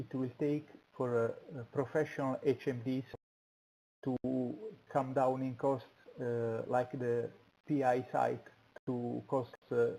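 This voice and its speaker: In an Italian accent, a man with a dark, mellow tone speaks at a very slow pace, leaving long, frequent pauses. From Italy. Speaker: show co-host. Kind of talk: interview. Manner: halting.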